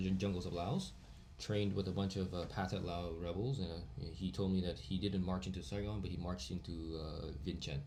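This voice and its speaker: Speaking at a fairly quick pace, a man with a very deep, low, somewhat breathy voice shows ordinary pitch variation against audible room echo. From Vietnam (Hanoi), partly raised in Virginia, US. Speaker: podcast guest, international student. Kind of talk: casual chat.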